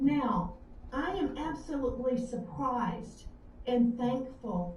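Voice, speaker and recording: Audible room echo follows a woman speaking high in a Southern US accent. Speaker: author. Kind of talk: live web show interview. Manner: halting.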